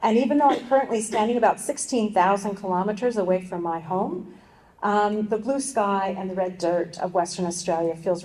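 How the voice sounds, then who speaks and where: With a dark, mellow tone and medium pitch, a woman speaks at a fairly quick pace with ordinary pitch variation. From US, Colorado. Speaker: university vice-chancellor. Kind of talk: formal welcome speech.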